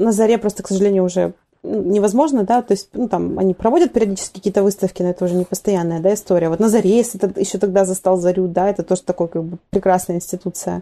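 A woman of medium pitch talks at a very fast pace, her dark, mellow tone paired with fairly even intonation. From Vladivostok, Russian Far East. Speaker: art center director, curator. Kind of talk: casual interview.

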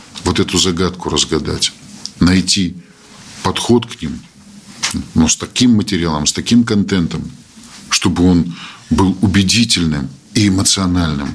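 A man's very deep, low voice at a moderate pace, ordinary pitch variation, long and frequent pauses, and noticeable background noise. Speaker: Belarusian parliamentarian, commission chair. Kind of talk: round-table discussion. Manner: animated.

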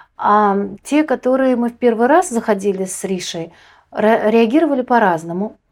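This woman has an ordinary speaking voice, pitched fairly high, at a moderate pace. Her loudness swings a lot, and the recording is very clean with a silent background. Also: lively intonation. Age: 30s. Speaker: visually impaired guide dog owner, accessibility project member. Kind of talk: casual interview.

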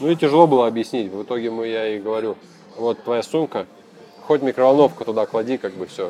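Music plays in the background as a man talks at a very fast pace with ordinary pitch variation. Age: 30s. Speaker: motorcycle traveler. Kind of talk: casual interview.

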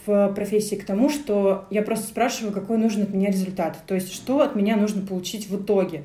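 With audible room echo, a woman talks at a moderate pace and medium pitch, keeping her intonation fairly even. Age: 20s. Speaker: creative producer and photographer. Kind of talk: casual chat.

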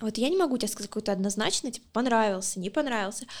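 On a very clean recording with a silent background, a woman with an unremarkable speaking voice talks at a fairly high pitch with lively intonation. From Luhansk, Ukraine. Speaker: podcast co-host. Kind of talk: casual chat.

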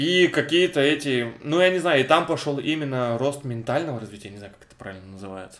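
Talking at a very fast pace with hardly any pauses, a man at a fairly high pitch swings widely in loudness. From Russia, Cherepovets. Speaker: podcast co-host. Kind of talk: casual chat.

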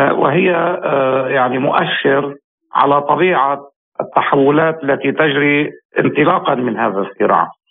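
At a fairly slow pace, a man talks in a plain, everyday voice with a fairly high pitch. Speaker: military analyst. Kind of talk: interview. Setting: phone call.

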